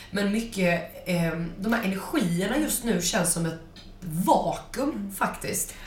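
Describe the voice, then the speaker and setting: A woman with a medium pitch and lively intonation talks at a very slow pace, with noticeable background noise and audible room echo. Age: 20s. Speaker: spiritual wellness podcast co-host. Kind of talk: casual chat.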